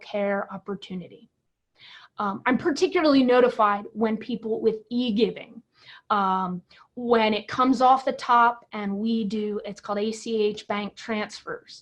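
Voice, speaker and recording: Against a quiet background, a woman talks at a moderate pace with a fairly high pitch. Her voice is somewhat breathy, with ordinary pitch variation. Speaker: pastor. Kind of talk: webinar presentation. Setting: online webinar.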